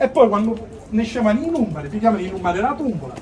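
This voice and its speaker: Over noticeable background noise, a man with a Sicilian accent talks at a very fast pace. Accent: Sicilian (Palermo). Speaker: street performer. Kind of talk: live street theatre monologue. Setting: outdoors.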